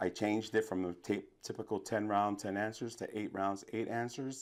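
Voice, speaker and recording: Recorded very cleanly against a silent background, a man speaks in a New York accent. His pitch is fairly low and his pace fairly quick. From New York City, the Bronx. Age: 50s. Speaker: DJ and trivia host. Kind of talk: interview. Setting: studio. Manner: animated.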